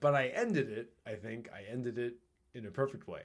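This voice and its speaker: A man speaks loudly. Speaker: podcast host. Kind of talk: casual chat. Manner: varied pitch.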